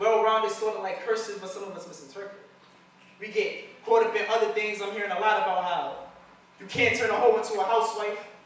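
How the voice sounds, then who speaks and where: This man has a high-pitched voice and talks at a fairly quick pace. Noticeable background noise sits behind him. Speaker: spoken word poet. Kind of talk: slam poetry performance. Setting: live stage.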